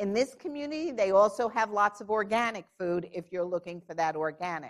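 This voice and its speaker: An animated woman with a New York accent, medium pitch, lively intonation and a fairly quick pace, on a very clean recording with a silent background. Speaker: diabetes clinician speaker. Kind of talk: conference panel talk.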